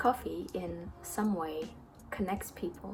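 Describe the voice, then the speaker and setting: Speaking at a fairly slow pace with a non-native accent, a woman is heard with music in the background. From Indonesia. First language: not English. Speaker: barista and YouTuber. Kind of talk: Q&A vlog. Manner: casual.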